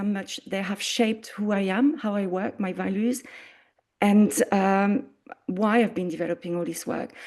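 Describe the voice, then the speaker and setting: A woman's fairly high voice with a dark, mellow tone, in a French accent, over a quiet background. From France. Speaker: arts coordinator. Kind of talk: presentation.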